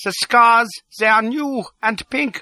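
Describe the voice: Using a put-on character voice, a man speaks at an extremely high pitch with ordinary pitch variation, a bright, sharp tone and a slow pace, in a dry, close sound with no echo.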